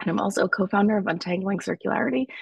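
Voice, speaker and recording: Somewhat breathy, a woman's voice sits at a medium pitch. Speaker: materials researcher and podcast co-founder. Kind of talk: panel presentation. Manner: halting.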